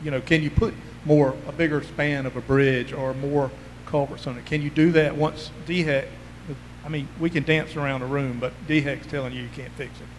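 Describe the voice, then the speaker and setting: Over noticeable background noise, a man with a Southern US accent talks in a fairly high voice with monotone, flat intonation. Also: moderate pace, big swings in loudness. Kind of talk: community meeting questions. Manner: loud.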